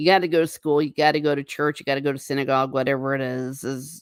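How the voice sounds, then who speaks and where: A woman with an American accent talks at a fairly quick pace. The recording is very clean, with a silent background. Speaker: livestream host. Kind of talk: casual chat reading live comments. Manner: animated.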